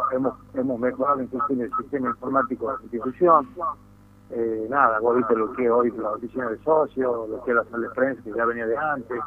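An unremarkable speaking voice from a man, medium-pitched and fairly quick, with fairly even intonation. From Tucumán, Argentina. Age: 60s. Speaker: football club executive. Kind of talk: radio interview.

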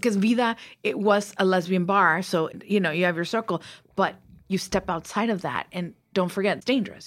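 A woman speaks at a moderate pace with a slight Mexican accent. Her pitch is medium with ordinary variation, and the recording is very clean with a silent background. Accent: light Mexican Spanish accent in English. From Mexico. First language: Spanish. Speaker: TV writer and producer. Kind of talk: interview. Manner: animated.

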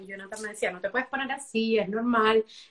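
A woman with an ordinary speaking voice talks at a fairly high pitch, her intonation fairly even. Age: 20s. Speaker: small business owner. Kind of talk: interview.

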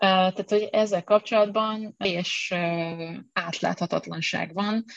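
A woman's somewhat breathy, monotone, flat voice, dry and close with no echo, against a quiet background. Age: young. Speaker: university lecturer and researcher. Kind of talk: interview.

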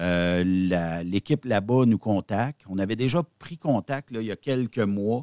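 Speaking at a very slow pace with hardly any pauses, a man with a Quebec accent uses a fairly low pitch, lively intonation and a dark, mellow tone in a dry, close sound with no echo. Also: very clean recording, silent background. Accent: Québécois French. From Quebec (Repentigny). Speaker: web radio founder, former trucker. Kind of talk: casual interview.

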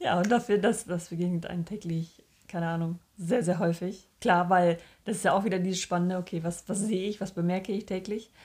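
A woman talks at a fairly quick pace in a medium pitch, her voice somewhat breathy and her intonation fairly even. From northern Germany. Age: 30s. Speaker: podcast co-host. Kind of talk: casual chat.

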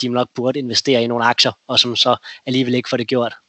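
A man is speaking. His pace is very fast. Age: 30s. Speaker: investor. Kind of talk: interview. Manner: halting.

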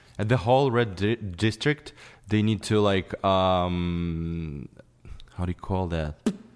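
Very slow in pace, a man with a Ukrainian accent speaks at a very deep, low pitch with ordinary pitch variation. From Ukraine. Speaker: photographer. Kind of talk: casual chat. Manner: halting.

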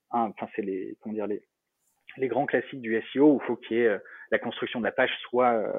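Keeping to a flat monotone, a man with a medium-pitched voice speaks at a moderate pace. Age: 30s. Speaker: startup founder. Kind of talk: interview. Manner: halting.

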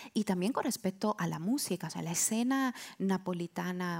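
A woman with a fairly low pitch speaks at a fairly slow pace, her pitch varying in an ordinary way. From Italy, Naples area (Castellammare di Stabia). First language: Italian / Neapolitan (speaking Spanish). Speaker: translator and writer. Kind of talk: live podcast panel discussion. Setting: stage with live audience.

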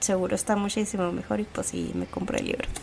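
A woman talks fairly quickly, and noticeable noise can be heard behind her. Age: 30s. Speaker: podcast host, architect. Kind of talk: casual chat.

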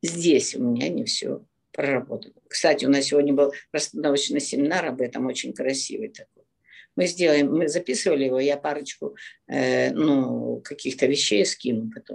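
Loudness rises and falls sharply in a woman's speech. The pace is moderate. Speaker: relationship coach. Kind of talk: live Q&A talk. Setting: video call. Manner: direct, blunt.

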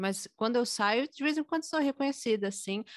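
Against a quiet background, a woman talks at a moderate pace in a dry, close sound with no echo. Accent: São Paulo. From São Paulo, Brazil. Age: 20s. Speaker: singer and music teacher. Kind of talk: casual interview.

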